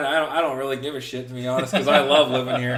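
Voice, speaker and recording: A man speaks at a medium pitch with a slight Southern US accent. Audible room echo and noticeable background noise surround him. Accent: slight Southern picked up. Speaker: podcast co-host. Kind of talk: casual chat.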